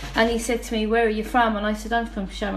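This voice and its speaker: A woman speaks with a Dublin accent. The room echo is audible. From Dublin, Ireland. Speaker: guest. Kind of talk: testimony.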